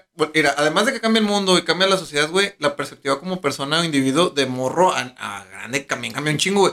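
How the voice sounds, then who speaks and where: With a Mexican accent, a man speaks at a very fast pace with hardly any pauses, his fairly high voice bright and sharp in tone with lively intonation. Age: 30s. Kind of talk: casual chat.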